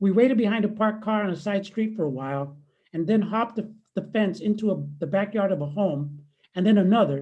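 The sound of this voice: An unforced reading voice is heard. The background is quiet.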